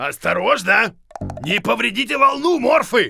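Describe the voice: A man does a cartoonish character voice at an extremely high pitch, bright and sharp in tone, with vocal fry, a slightly husky edge and big pitch swings. He goes at a fairly slow pace while faint music plays in the background.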